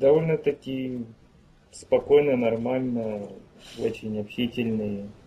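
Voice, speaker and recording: Very slowly and with long, frequent pauses, a man speaks in a dark, mellow, somewhat breathy voice with fairly even intonation. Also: medium pitch for a man. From Ukraine. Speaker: musician. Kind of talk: interview. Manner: terse.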